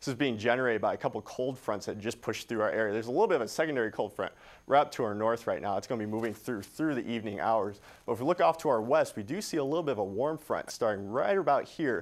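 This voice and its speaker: Lively intonation marks this man's medium-pitched voice at a very fast pace. The recording is very clean, with a silent background. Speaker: television meteorologist. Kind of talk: TV weather forecast. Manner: casual, conversational, clear.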